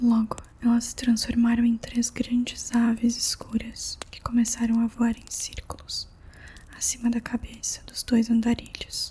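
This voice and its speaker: Soft-spoken woman with a gentle tone, fairly slow pace, and noticeable background noise. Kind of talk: ASMR audiobook reading. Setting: quiet room with faint candle and fireplace sounds. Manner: soft-spoken, gentle.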